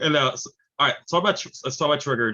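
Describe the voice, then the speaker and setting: A man talks with an American accent. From New York. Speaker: film interviewer. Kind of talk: casual interview. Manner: halting.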